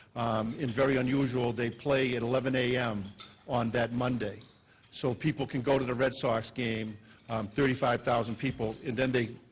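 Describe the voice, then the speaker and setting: A man speaks in a Boston accent at a fairly quick pace. His intonation stays monotone and flat. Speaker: police chief. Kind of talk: speech. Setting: luncheon stage with audience. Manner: hesitant with many fillers.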